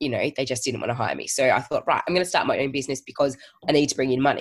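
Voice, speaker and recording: Here a woman speaks with an Australian accent. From Australia, Geelong. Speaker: virtual assistant business owner. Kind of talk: casual interview. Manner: hesitant, many fillers.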